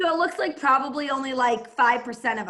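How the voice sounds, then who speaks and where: A woman with a Boston accent speaks at a high pitch in a bright, sharp tone. Her intonation is lively. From Massachusetts, Boston area (Plymouth). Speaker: entrepreneur and network marketer. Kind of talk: team call talk and how-to. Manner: fast.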